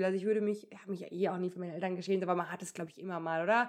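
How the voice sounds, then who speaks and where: A woman at a medium pitch, talking at a very fast pace. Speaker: podcast co-host. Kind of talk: casual chat. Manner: laughing often.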